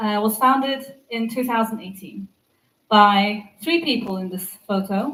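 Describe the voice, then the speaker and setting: A woman speaks at a very slow pace with an English accent. Her pitch is fairly high, with ordinary variation. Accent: English-sounding (half English). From Turkey (Istanbul), half English. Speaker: developer advocate. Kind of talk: conference talk. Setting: stage with audience.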